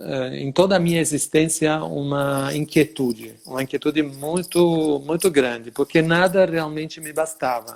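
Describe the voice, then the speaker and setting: A man's fairly high voice in an Italian accent, fairly slow with hardly any pauses, fairly even intonation and big swings in loudness. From Italy (Sicily). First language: Italian (speaking Portuguese). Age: 60s. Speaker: dance teacher. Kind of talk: interview.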